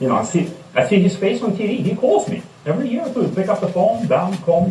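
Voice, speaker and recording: Over noticeable background noise and audible room echo, a man with a non-native accent speaks in a high pitch with ordinary pitch variation. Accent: foreign. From outside the United States. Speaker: recovering alcoholic speaker. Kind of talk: testimony.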